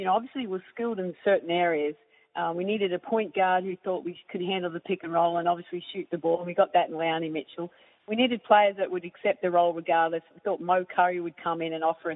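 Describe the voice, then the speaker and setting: A fast-talking woman with an Australian accent, fairly low in pitch and fairly even in intonation, her loudness swinging widely. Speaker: basketball coach.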